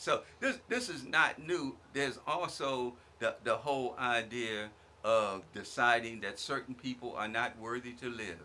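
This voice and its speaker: A bright, sharp tone with an American accent. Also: man, medium pitch for a man, ordinary pitch variation, fairly slow pace. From Virginia, US South. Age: 70s. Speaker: guest speaker on community radio. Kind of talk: radio talk show discussion.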